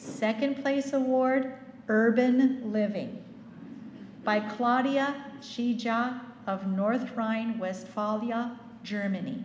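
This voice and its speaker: Speaking very slowly with long, frequent pauses, a woman uses a fairly high pitch and fairly even intonation, with audible room echo. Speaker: awards emcee. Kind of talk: awards presentation.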